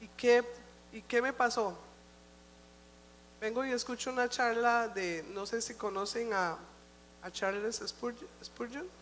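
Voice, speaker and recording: Speaking at a very slow pace with long, frequent pauses, a woman with a fairly high pitch shows ordinary pitch variation and big swings in loudness. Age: old. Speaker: church speaker. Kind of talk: sermon.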